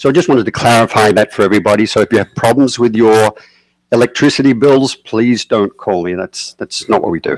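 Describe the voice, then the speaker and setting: Delivered at a fairly quick pace with an Australian accent, the speech has ordinary pitch variation and a dry, close sound with no echo. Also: man, medium pitch for a man. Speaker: energy company project developer. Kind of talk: public presentation at town board meeting.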